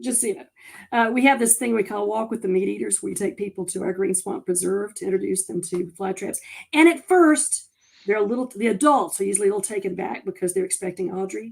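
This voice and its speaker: At a very fast pace, a woman of medium pitch speaks in a North Carolina accent, animated and with lively intonation. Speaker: conservation worker. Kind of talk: casual chat.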